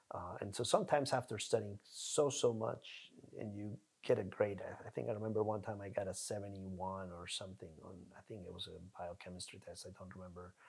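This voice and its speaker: A man in a Spanish accent speaks in a fairly low, somewhat breathy voice, with ordinary pitch variation and big swings in loudness. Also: fairly quick pace. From Colombia. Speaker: neurologist. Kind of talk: interview.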